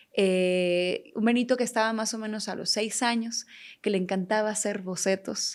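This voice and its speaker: A woman speaks in an ordinary speaking voice, fairly high in pitch, at a moderate pace. Her intonation is fairly even, and the recording is very clean with a silent background. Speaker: talk show host. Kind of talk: interview.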